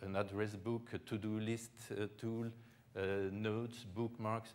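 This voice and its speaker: A man's fairly slow, monotone delivery with flat intonation. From Belgium. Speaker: tech company executive, conference speaker. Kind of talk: conference presentation. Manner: halting, many fillers and repetitions.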